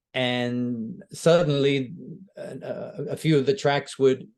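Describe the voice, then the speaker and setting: A man speaks with an American accent at a fairly high pitch. His pitch varies in an ordinary way. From US, New York. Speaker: singer. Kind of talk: interview.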